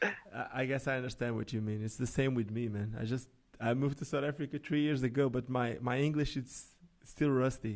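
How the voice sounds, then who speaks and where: In a very clean recording with a silent background, a man at medium pitch talks at a fairly quick pace with fairly even intonation. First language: Portuguese. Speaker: podcast host. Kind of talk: casual interview.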